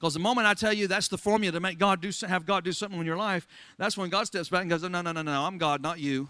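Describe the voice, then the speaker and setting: An American-accented man with a high pitch talks at a very fast pace in an animated tone against a quiet background. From Florida. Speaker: pastor. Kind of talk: sermon.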